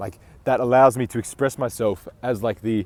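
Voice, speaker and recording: This is a man's voice with a dark, mellow tone. His intonation stays fairly even. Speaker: self-improvement coach. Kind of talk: motivational talk to camera. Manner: casual, many fillers like 'like' and 'uh'.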